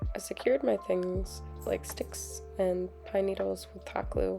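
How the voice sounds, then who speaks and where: Background music is playing. A woman talks at a fairly slow pace. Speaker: art vlogger. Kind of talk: voiceover narration.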